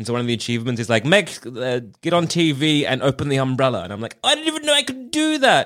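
A man with an Australian accent, at a very fast pace with hardly any pauses. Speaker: podcast host. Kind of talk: casual chat.

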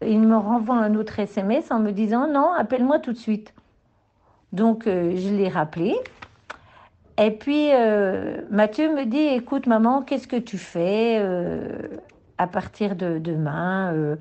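A woman talks fairly slowly at a fairly high pitch, her intonation lively and her pauses long and frequent. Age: 60s. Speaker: grandmother. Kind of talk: testimony.

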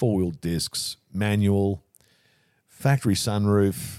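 A man with an Australian accent speaks very slowly in a fairly low, dark, mellow voice. The sound is dry and close, with no echo. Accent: Australian, broad. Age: 70s. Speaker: funeral director. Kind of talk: casual chat.

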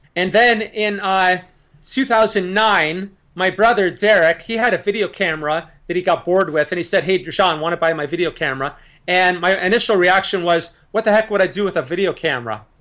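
A man's high-pitched voice, bright and sharp in tone, moves at a moderate pace with ordinary pitch variation on a very clean recording with a silent background. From Niagara Falls, Ontario, Canada. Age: 40s. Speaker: YouTube musician and vegan activist. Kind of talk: casual interview.

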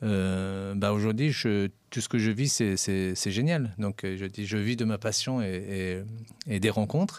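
A man's fairly low voice at a very slow pace, with ordinary pitch variation, in a very clean recording with a silent background. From Paris, France (Persian family, arrived age 8). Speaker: entrepreneur. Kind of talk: interview. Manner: halting, many repetitions.

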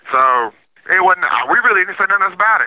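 A man speaks with a Southern US accent. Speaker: prisoner. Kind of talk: interview.

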